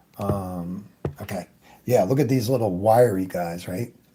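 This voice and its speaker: A man's somewhat breathy, dark, mellow voice at a fairly slow pace, with ordinary pitch variation. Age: 70s. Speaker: airbrush artist. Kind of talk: tutorial. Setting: live stream. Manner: casual.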